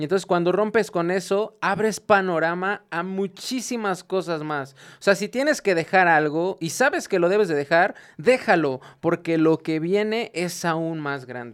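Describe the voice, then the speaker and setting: A man with a high pitch, ordinary pitch variation and a fairly slow pace. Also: very clean recording, silent background. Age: 20s. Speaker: industrial engineer and small business owner. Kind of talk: casual faith-based podcast chat.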